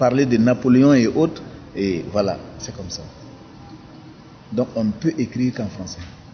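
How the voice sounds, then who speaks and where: Over noticeable background noise, a man at medium pitch speaks at a moderate pace with ordinary pitch variation, big swings in loudness, and long, frequent pauses. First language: a local Burkinabè language (speaking French). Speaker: writer. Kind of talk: documentary interview.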